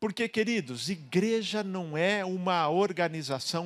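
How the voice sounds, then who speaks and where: The recording is very clean with a silent background. A man speaks at a high pitch. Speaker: pastor. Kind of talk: sermon. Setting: church.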